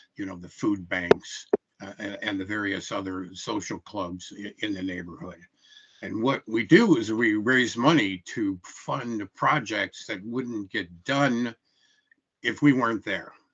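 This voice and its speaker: A man with a Midwestern US accent, fairly low in pitch with ordinary pitch variation, at a fairly slow pace with big swings in loudness. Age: 70s. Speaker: public hearing commenter, retired carpenter. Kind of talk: public testimony at a hearing. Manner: halting with frequent fillers.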